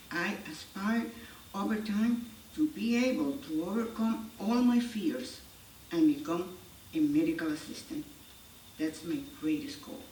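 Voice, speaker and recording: Noticeable background noise and audible room echo surround a woman with a Spanish accent and a fairly high pitch. She speaks at a fairly slow pace with very wide pitch swings and long, frequent pauses. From Ecuador. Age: 70s. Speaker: English language student. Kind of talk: reading aloud. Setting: stage with audience.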